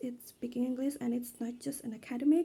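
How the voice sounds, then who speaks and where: A dark, mellow tone in an Indonesian accent. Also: woman. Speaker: student. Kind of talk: class presentation video. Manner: halting.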